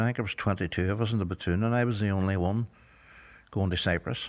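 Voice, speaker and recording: A man talks at a fairly quick pace in a Derry accent, his pitch fairly low with ordinary variation. The recording is very clean, with a silent background. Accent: Northern Irish (Derry). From Northern Ireland, Derry. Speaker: former paramilitary prisoner. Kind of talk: interview testimony.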